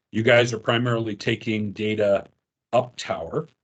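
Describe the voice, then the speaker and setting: A man speaks with a Newfoundland accent. His pitch is fairly low. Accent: Newfoundland Canadian. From Canada, St. John's, Newfoundland. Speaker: wind turbine technical trainer. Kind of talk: online training meeting. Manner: hesitant, many fillers.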